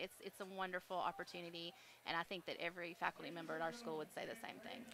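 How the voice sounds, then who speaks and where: A very fast pace, fairly even intonation and a bright, sharp tone. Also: woman, fairly low pitch for a woman. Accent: Alabama. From Alabama. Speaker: chemistry teacher and cheer coach. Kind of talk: casual interview during a game broadcast.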